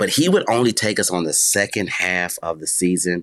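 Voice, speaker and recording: Here a man speaks with an American accent at a moderate pace. His pitch is very deep and low, with ordinary pitch variation. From Buffalo, New York. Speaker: youth ministry leader. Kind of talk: interview.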